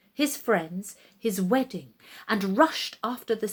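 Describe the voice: The text is given plain reading aloud.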